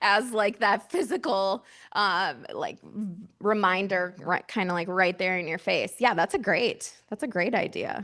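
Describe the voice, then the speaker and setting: A woman's unremarkable speaking voice at a medium pitch, fairly slow with hardly any pauses and ordinary pitch variation, over a quiet background. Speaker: mental health outreach director. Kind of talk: workshop presentation with audience discussion. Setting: conference room with audience.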